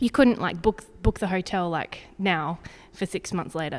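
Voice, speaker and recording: Here a woman speaks in an Australian accent. Her pitch is fairly low and her pace fairly quick. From Zambia, Australian family. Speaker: sports dietitian. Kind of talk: casual interview. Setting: indoors by a fireplace.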